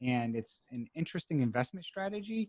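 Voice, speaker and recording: A man at a very fast pace with very wide pitch swings, in a dry, close sound with no echo. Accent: slight Boston. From Massachusetts, US. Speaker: podcast host, note investor. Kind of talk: interview.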